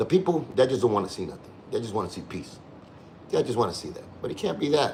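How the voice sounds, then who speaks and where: A man talks at a fairly quick pace. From Cuba. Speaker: online show host. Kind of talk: livestream commentary rant. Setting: home livestream, on couch. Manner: fast.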